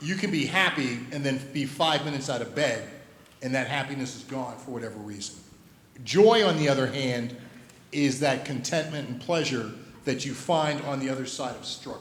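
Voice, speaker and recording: A man with an American accent talks at a fairly high pitch, his loudness swinging widely. Audible room echo and noticeable background noise are present. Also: ordinary pitch variation, moderate pace. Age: 60s. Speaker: school head and pastor. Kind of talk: interview Q&A at a school assembly. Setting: stage with audience.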